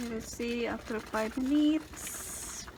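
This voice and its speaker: Noticeable background noise runs under the recording. A woman speaks in a fairly high pitch. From Philippines. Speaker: home cooking channel host. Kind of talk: cooking tutorial. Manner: casual, halting.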